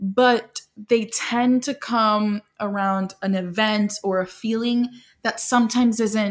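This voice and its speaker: With a somewhat breathy quality, a woman speaks at a fairly high pitch. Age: 20s. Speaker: podcast co-host. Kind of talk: casual chat. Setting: construction noise nearby. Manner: animated.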